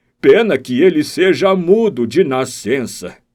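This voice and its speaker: A man does a put-on character voice with a warm tone and a fairly high pitch. He goes at a fairly slow pace with very wide pitch swings. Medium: read story. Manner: warm, respectful.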